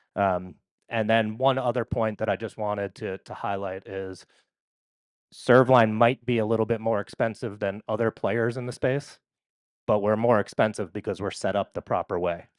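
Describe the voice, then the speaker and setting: A man with a New York accent talks at a moderate pace and a fairly low pitch, with fairly even intonation. The sound is dry and close with no echo, against a quiet background. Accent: New York area. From New York area. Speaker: company representative. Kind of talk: conference presentation.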